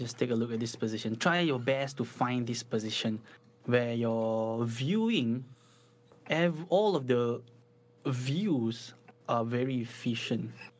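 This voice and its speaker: Speaking in a Singaporean accent, the voice moves at a fairly slow pace with long, frequent pauses. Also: man, medium pitch for a man, ordinary pitch variation. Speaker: guitar teacher. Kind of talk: casual chat; tutorial. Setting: live stream.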